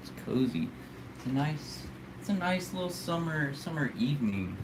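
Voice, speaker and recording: A man's fairly high voice with an American accent and lively intonation, at a moderate pace, with audible room echo and noticeable background noise. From United States. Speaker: live streamer. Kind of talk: casual live stream chat. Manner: casual, hesitant with fillers and repeats.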